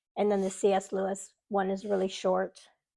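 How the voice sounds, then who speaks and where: A woman is talking. Her voice has a medium pitch. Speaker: booktuber. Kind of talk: casual chat. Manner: halting.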